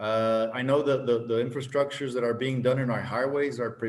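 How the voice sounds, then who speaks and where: A man with a Spanish accent, medium pitch, monotone and flat intonation, and a fairly quick pace. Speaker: government official. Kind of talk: conference presentation.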